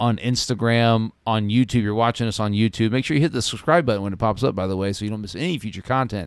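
Speaking very fast with hardly any pauses, a man uses a medium pitch and ordinary pitch variation. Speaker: podcast host. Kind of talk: casual banter podcast. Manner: laughs often, talks over partner.

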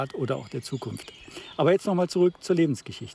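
A man with ordinary pitch variation against noticeable background noise. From Baden, Freiburg. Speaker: podcast host, coach and trainer. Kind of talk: casual conversation. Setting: outdoors.

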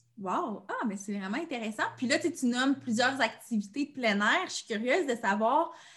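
Against a quiet background, a woman speaks in an ordinary speaking voice, fairly high in pitch, with lively intonation. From Abitibi-Témiscamingue, Quebec. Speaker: podcast host. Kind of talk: casual interview.

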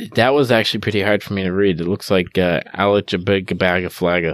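Fairly quick speech from a man, his pitch on the fairly low side. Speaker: podcast co-host. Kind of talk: casual banter, profanity-laden comedy chat. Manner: jokey, laughs often.

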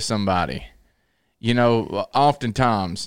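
A man with a Southern US accent on a very clean recording with a silent background. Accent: US South. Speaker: preacher. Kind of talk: casual chat. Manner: loud.

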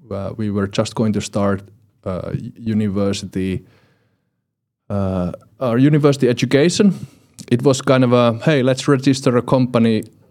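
With a Finnish accent, a man at medium pitch speaks at a moderate pace, his pitch varying in an ordinary way and his long pauses coming often. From Finland. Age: 40s. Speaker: entrepreneurship lecturer and coach. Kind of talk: podcast interview. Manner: halting.

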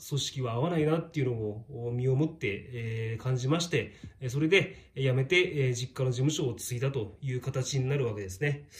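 The speech moves at a moderate pace with lively intonation over noticeable background noise. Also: man. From Shizuoka, Japan. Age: 40s. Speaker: tax accountant. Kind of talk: monologue to camera. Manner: many fillers, hesitant.

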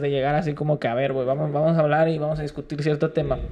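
A man talks in a monotone, flat intonation at a fairly high pitch. Noticeable background noise is present. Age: 20s. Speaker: rapper and freestyler. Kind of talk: casual interview chat. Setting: studio.

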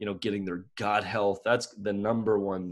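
In a Maritime Canadian accent, a man speaks at a fairly slow pace with monotone, flat intonation and a fairly low pitch, on a very clean recording with a silent background. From Canada, Nova Scotia. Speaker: dog trainer. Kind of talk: casual interview.

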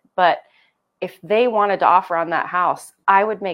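A woman talks with a Pacific Northwest accent. Her pace is moderate. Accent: Pacific Northwest American. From Eastern Oregon (Cove, La Grande). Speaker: real estate agent. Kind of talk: casual chat.

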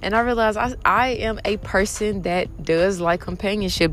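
The speaker is a woman with fairly even intonation. Background noise is noticeable. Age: 20s. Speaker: podcast host. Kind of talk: casual monologue. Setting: outdoors in a park.

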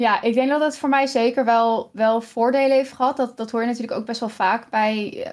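A woman speaking at a moderate pace. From Netherlands, Kampen. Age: 30s. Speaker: streamer. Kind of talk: interview conversation. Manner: halting.

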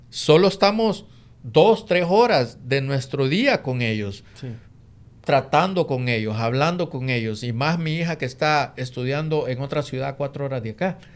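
Talking at a fairly slow pace, a man with a plain, everyday voice and a fairly high pitch uses lively intonation in a very clean recording with a silent background. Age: 50s. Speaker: real estate investor and co-host. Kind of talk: casual chat.

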